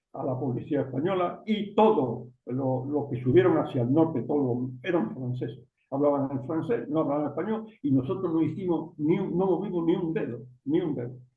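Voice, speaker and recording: A man with a fairly high pitch and lively intonation speaks at a moderate pace, with audible room echo. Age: 80s+. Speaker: journalist, writer and former politician. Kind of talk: interview. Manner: halting, many false starts.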